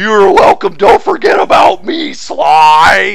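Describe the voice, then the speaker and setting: Shouting in a put-on character voice, a man speaks at a fairly slow pace. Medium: game stream.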